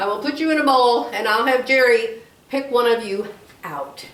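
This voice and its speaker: Over noticeable background noise and audible room echo, a woman with a high pitch speaks at a fairly slow pace. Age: 70s. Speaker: crafts YouTuber. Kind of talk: casual vlog chat. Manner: rambling, repetitive.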